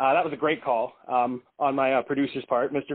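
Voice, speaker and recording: This man has an ordinary speaking voice at medium pitch. He talks at a moderate pace. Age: 30s. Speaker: indie rock musician. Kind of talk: casual interview.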